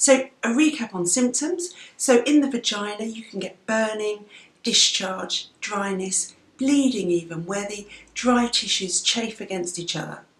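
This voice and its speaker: Fairly slow and with lively intonation, a woman in an English accent speaks at a fairly high pitch over noticeable background noise. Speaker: doctor vlogger. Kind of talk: health education vlog. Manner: conversational.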